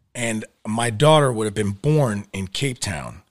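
A man speaks with a New York accent. His fairly low voice has lively intonation. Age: 40s. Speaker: actor. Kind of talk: casual chat. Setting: studio.

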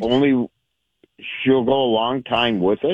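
The delivery is fairly slow with fairly even intonation. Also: man, medium pitch for a man. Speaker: radio show caller. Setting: phone. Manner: calm, easygoing.

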